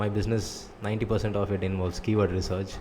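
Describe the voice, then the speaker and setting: Mumbling at a very fast pace, a man speaks in a fairly low pitch with a Tamil accent. His intonation is monotone and flat. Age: 20s. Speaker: vlogger, online business owner. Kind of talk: personal vlog monologue.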